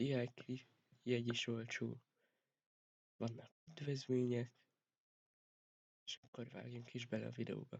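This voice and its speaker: Somewhat breathy and monotone, a man speaks at a very slow pace with flat intonation and long, frequent pauses. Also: medium pitch for a man. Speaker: vlogger. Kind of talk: casual vlog talk.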